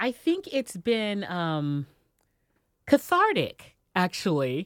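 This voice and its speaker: Recorded dry and close with no echo, a woman's voice makes very wide pitch swings. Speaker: podcast host and radio personality. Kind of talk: casual chat. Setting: studio. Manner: halting.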